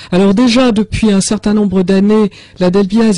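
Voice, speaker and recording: Somewhat breathy, the dark, mellow voice moves at a moderate pace in a dry, close sound with no echo. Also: woman. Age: 60s. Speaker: author of a health book. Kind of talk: radio interview with call-in.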